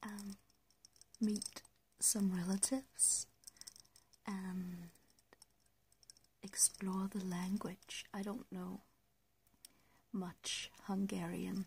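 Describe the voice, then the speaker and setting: Soft-spoken and somewhat breathy, a woman with a Danish accent speaks at a medium pitch in a monotone, flat intonation, very slowly, with long, frequent pauses. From Denmark. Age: 20s. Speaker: ASMR creator. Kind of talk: ASMR soft-spoken Q&A tag video. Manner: hesitant.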